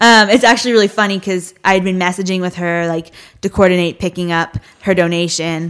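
A woman with a plain, everyday voice at medium pitch, fairly even intonation and a fairly quick pace. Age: young. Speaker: animal sanctuary founder. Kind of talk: casual chat.

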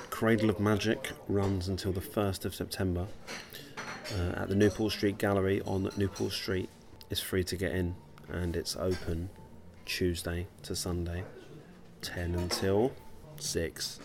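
Soft-spoken and very deep in pitch, a man talks at a fairly slow pace with fairly even intonation and long, frequent pauses. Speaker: podcast host. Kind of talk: casual chat. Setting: coffee shop in a gallery.

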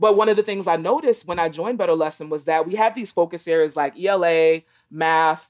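With an American accent, a normal speaking voice moves at a fairly quick pace with ordinary pitch variation. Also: woman. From New York City, Brooklyn. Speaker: author and education consultant. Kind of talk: interview.

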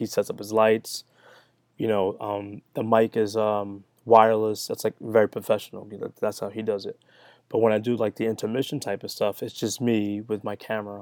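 The delivery has a monotone, flat intonation. It is a very clean recording with a silent background and a dry, close sound with no echo. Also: man, fairly low pitch for a man, moderate pace. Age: 30s. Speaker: sneaker content creator. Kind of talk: casual chat.

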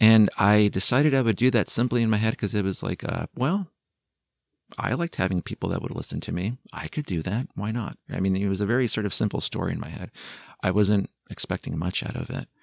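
In a normal speaking voice, a man with an American accent speaks at a fairly quick pace and fairly low pitch, with ordinary pitch variation. The sound is dry and close with no echo, on a very clean recording with a silent background. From California, San Jose. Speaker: psychologist, hospital family support director. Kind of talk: interview conversation. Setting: studio.

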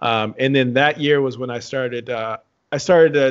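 A man's plain, everyday voice with an American accent, fairly quick pace and fairly even intonation. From Texas, San Antonio. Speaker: reality TV contestant and performer. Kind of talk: interview.

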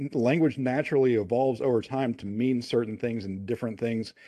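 Over a quiet background, a dark, mellow voice with an American accent moves at a moderate pace with ordinary pitch variation. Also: man. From US, Kentucky. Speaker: podcast co-host. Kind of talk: casual chat.

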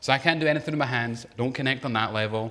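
This man rattles along at a very fast pace, his medium pitch showing ordinary variation. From Scotland. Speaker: preacher. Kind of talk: sermon. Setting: church; stage with audience.

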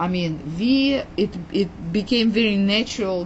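A woman talks with a Russian accent. Her pace is fairly slow and her intonation lively. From Uzbekistan, Soviet Union. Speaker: immigrant and family therapist telling her life story. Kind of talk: interview telling life story. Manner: halting, hesitant with repeated words.

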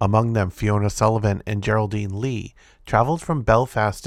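A man speaks in a normal speaking voice at a fairly low pitch with ordinary pitch variation. His fairly quick delivery comes through on a very clean recording with a silent background. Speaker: podcast host reading news articles. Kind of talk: reading aloud a news article about protests, including quoted rally speech. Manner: occasional stumbles and self-corrections while reading.

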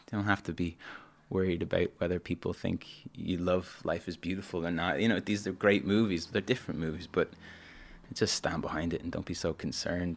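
Someone with a Dublin accent speaks very fast in a monotone, flat delivery, captured in a very clean recording with a silent background. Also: man. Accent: Dublin Irish. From Ireland, Dublin. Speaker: musician. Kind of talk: casual chat.

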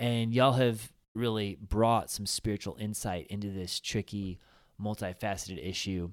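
In a very clean recording with a silent background, a man with a normal speaking voice talks at a fairly low pitch and a moderate pace, his intonation fairly even. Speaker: pastor and podcast host. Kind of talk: casual podcast discussion. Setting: podcast table conversation.

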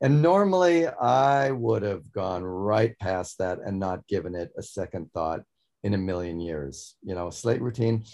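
A plain, everyday voice belongs to this man, pitched fairly low with lively intonation. He speaks at a fairly slow pace against a quiet background. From Montana. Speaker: magician. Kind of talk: interview. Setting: video call.

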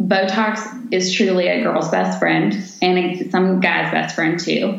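A woman talks at a very slow pace. Noticeable background noise and audible room echo surround her voice. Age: 30s. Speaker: nurse injector. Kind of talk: podcast interview, explaining cosmetic treatments.

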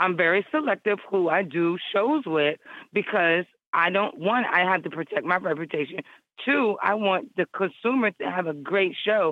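A woman talks at a moderate pace in an American accent, her pitch medium and her tone animated. Her intonation is lively and her loudness very even. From Virginia (Hampton Roads and Richmond areas). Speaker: hip hop artist. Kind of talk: casual interview. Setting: phone call.

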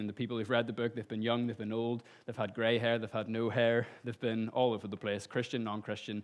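This man speaks with a Northern Irish accent. His pitch is medium. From Northern Ireland, Lisburn. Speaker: lay preacher and copywriter. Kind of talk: sermon. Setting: church stage with audience.

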